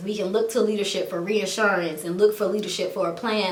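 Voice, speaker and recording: A woman at a fairly quick pace and medium pitch, fairly even in intonation, with audible room echo and noticeable background noise. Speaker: YouTuber. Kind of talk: vlog venting monologue. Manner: halting.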